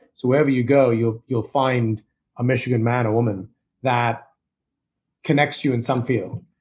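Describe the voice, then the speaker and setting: Somewhat breathy, a man with an American accent talks at a fairly quick pace in a medium pitch with monotone, flat intonation. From Zambia, Indian heritage, schooled in UK. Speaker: marketing executive and investor. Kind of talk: interview.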